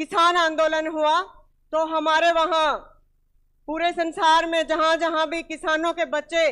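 Extremely high in pitch, a woman speaks with a bright, sharp tone. Her pace is very slow against a quiet background. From India, Haryana (Hisar district); Haryana, India. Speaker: speaker. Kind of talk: public speech. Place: hall. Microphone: handheld.

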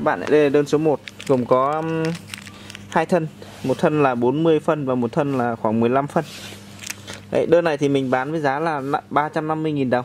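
A man's fairly high voice at a fairly slow pace, with fairly even intonation, long, frequent pauses and light background noise. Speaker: orchid seller. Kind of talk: sales pitch. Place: open country. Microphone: phone near.

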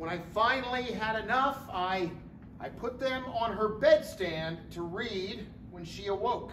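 Delivered at a fairly slow pace, the speech carries audible room echo and light background noise. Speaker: stage actor. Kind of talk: theatrical monologue. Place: stage. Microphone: camera far.

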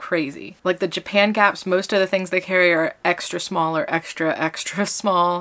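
A woman speaks at a moderate pace with a bright, sharp tone and a monotone, flat intonation. Her loudness is very even, there are hardly any pauses, and the background is quiet. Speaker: vlogger. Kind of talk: casual vlog chat. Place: home room. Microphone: phone near.

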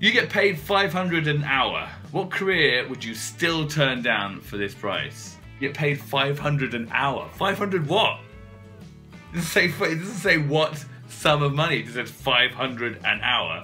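With music in the background, a man with a British accent talks at a moderate pace, fairly high in pitch and with lively intonation. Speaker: presenter, voice over artist. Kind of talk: casual talk to camera.

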